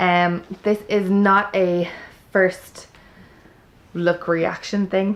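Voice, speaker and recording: In an Irish accent, a woman talks at a very slow pace with monotone, flat intonation and long, frequent pauses. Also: medium pitch for a woman. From Ireland. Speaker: homeschooling parent, vlogger. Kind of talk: product review. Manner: chatty.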